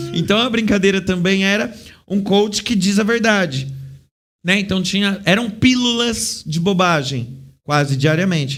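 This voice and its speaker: A man speaks at a fairly slow pace with very wide pitch swings. Room echo is audible. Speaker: clown and theatre actor. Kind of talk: interview.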